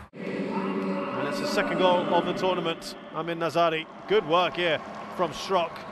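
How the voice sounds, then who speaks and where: A man talks in an animated, excited tone, his pitch high with ordinary variation. Noticeable background noise runs beneath him. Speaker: football commentator. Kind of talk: live sports commentary on a football match, analysing play and goals. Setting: commentary over match footage with replays. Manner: animated, quick-fire play-by-play with excited exclamations at goals; critical, judging the goalkeeper's errors with dry disappointment.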